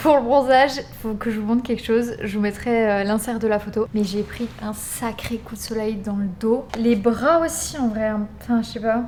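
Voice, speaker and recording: A woman speaks with fairly even intonation and hardly any pauses over noticeable background noise. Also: fairly high pitch for a woman, moderate pace. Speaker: vlogger and Pilates influencer. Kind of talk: casual vlog. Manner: soft-spoken.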